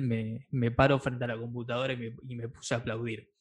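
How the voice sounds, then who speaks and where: A man's medium-pitched voice with an Argentine accent, at a moderate pace, over a quiet background. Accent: Argentine Spanish (Rioplatense). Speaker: podcast host. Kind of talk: interview.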